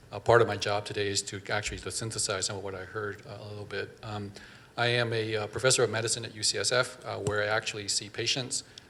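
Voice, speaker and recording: Over noticeable background noise, the speech comes at a very fast pace in a flat monotone. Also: man. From Vietnam, raised in Northern California. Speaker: physician and professor. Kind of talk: panel discussion. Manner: hesitant, many fillers.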